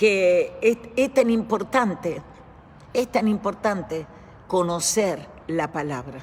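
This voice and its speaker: Somewhat breathy and medium-pitched, a woman speaks at a very slow pace with lively intonation. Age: 70s. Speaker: church teacher. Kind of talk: bible study teaching. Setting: church.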